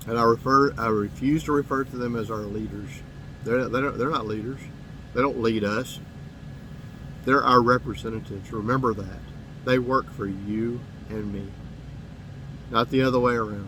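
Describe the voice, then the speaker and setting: A man speaks in a Southern US accent at a medium pitch and moderate pace. His intonation is fairly even, and he takes long, frequent pauses. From US South, Mississippi. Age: 50s. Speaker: political commentator. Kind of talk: monologue to camera. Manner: halting, with repetitions.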